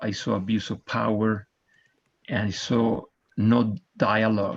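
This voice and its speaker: A man talks at a fairly slow pace in a fairly low voice. His intonation is monotone and flat, with a Spanish accent. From Argentina. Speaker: mayoral candidate. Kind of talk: candidate forum closing statement. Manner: impassioned.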